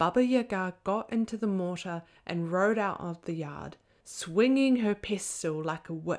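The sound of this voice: The recording carries an unforced reading voice.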